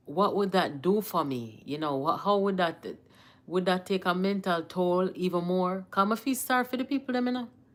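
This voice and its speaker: A woman with a Jamaican accent, medium in pitch, with lively intonation. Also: moderate pace. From Jamaica, Kingston. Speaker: political commentator, livestream host. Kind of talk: casual live-stream commentary. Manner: mixes Jamaican Patois and English.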